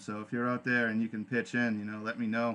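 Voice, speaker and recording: A man's medium-pitched, bright and sharp voice with a slight New England accent, over a quiet background. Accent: subtle New England. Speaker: podcast host. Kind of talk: casual live podcast talk. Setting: live online radio stream. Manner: casual, halting with fillers.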